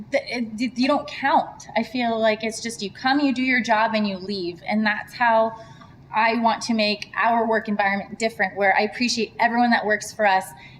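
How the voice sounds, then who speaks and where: Fairly high-pitched woman at a moderate pace, with fairly even intonation and noticeable background noise. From US, moved from Serbia at age four. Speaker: entrepreneur. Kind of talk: interview.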